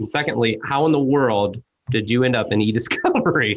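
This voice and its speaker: Speaking at a fairly quick pace with a Midwestern accent, a man keeps a medium pitch and ordinary pitch variation. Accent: American Midwestern. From US Midwest. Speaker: podcast host. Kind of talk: casual interview chat. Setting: video call.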